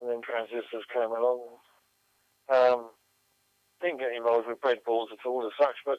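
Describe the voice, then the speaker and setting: A man with a British accent, medium pitch, and a moderate pace. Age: 70s. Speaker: amateur radio operator. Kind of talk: radio net conversation. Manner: halting.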